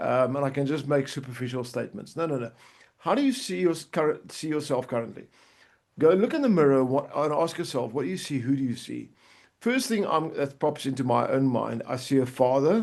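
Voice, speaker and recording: Against a quiet background, a man talks at a fairly quick pace in a plain, everyday voice. His pitch is fairly high, with ordinary pitch variation. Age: 60s. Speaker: life coach. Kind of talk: livestream coaching talk. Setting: live video stream.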